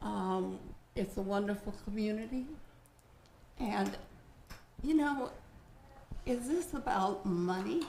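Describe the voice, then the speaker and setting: Long, frequent pauses fill a woman's very slow speech. Noticeable background noise and audible room echo surround her. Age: 70s. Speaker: local resident testifying at council. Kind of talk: public comment testimony. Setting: city council chambers.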